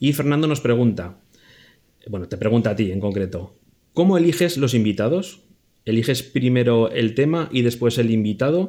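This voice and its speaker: With a dark, mellow tone, a man talks at a medium pitch. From Spain, Zaragoza. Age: 40s. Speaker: podcast co-host and editor. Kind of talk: reading listener questions. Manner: slow, deliberate reading.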